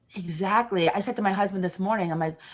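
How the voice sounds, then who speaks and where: Talking at a fairly quick pace, a woman has a New York accent. Her voice is medium in pitch, with ordinary pitch variation. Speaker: podcast guest, business owner.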